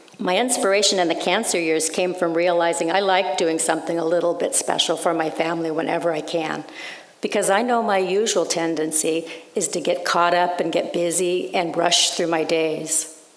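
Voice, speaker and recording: A woman's fairly low voice at a moderate pace, with very even loudness and fairly even intonation, over noticeable background noise. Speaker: writer. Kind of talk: sermon.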